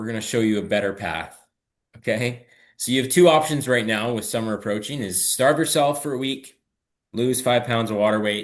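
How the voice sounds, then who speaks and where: A man with a Canadian accent talks at a medium pitch with ordinary pitch variation against a quiet background. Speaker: fitness coach. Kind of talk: live webinar training. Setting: live video stream with chat. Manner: fast; casual, conversational.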